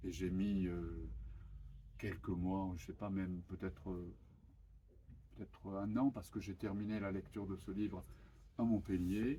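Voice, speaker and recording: A dark, mellow tone marks this voice. There is some breathiness to it. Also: man. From Japan. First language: Japanese (speaking French). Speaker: author. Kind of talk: interview. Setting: bookshop event with audience. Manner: halting, many hesitations.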